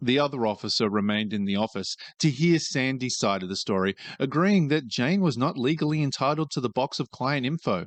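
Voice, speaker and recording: In an Australian accent, a man talks fairly quickly at a medium pitch with lively intonation, the sound dry and close with no echo and the background quiet. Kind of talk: reddit story reading.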